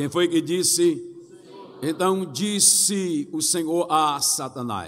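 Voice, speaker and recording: A man speaks over noticeable background noise. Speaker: pastor. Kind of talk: sermon.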